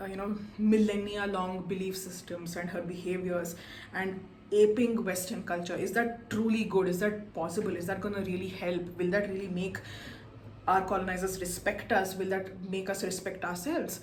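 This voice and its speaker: A woman speaks with a Kannada accent in a flat, monotone way. Noticeable background noise and audible room echo surround her voice. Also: medium pitch for a woman, moderate pace. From India. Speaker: book reviewer. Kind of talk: book review monologue.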